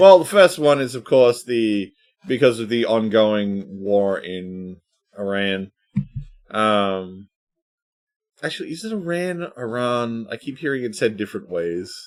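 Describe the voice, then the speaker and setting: Speaking at a fairly slow pace with long, frequent pauses, a man with an Australian accent and a medium pitch uses lively intonation and big swings in loudness. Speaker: podcast host. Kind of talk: casual chat.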